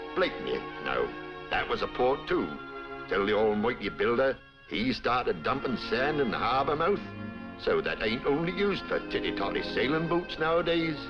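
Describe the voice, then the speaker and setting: With music in the background, a speaker with a strong Norfolk accent talks at a moderate pace and very even loudness. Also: man. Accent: strong Norfolk rural. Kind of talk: documentary narration, folksy local commentary.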